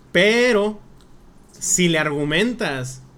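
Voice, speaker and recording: The speech has lively intonation, and room echo is audible. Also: man. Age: 20s. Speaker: podcast guest. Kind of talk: casual chat.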